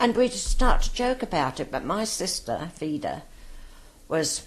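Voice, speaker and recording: The voice has a London accent and vocal fry, with very wide pitch swings. The pace is fairly slow. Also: woman, medium pitch for a woman. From London, north-west (West Hampstead). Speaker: war veteran. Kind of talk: oral history interview.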